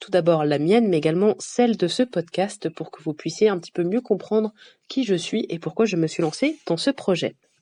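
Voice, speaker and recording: A woman speaks at a medium pitch with a dark, mellow tone and lively intonation, at a moderate pace. Her loudness swings widely, and the sound is dry and close with no echo. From France. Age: 20s. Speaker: podcast host. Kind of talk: podcast monologue.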